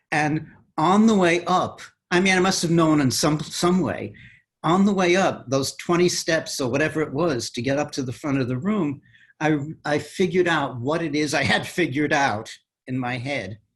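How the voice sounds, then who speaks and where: Against a quiet background, a man speaks at a moderate pace with a fairly high pitch and ordinary pitch variation. It is an ordinary speaking voice. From New York City, the Bronx. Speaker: mathematician. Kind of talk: interview.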